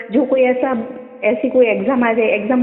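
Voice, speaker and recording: A high-pitched woman with a Gujarati accent, fairly even intonation and a moderate pace, with music in the background. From Gujarat, India. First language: Gujarati (speaking Hindi). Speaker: devotee sharing experience. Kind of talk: testimony. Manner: halting.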